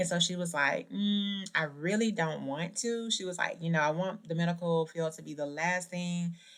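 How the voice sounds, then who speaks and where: A woman speaks in a Southern US accent. Her pitch varies in an ordinary way. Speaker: podcast host. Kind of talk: motivational podcast talk. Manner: casual, conversational.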